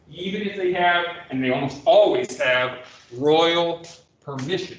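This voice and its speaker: A man talks with ordinary pitch variation. Audible room echo and noticeable background noise are present. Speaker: history professor. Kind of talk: lecture.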